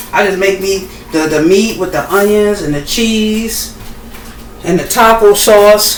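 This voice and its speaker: At a fairly slow pace and medium pitch, a woman speaks with ordinary pitch variation amid noticeable background noise and audible room echo. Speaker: home cooking vlogger. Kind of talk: casual cooking tutorial. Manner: casual, halting with fillers.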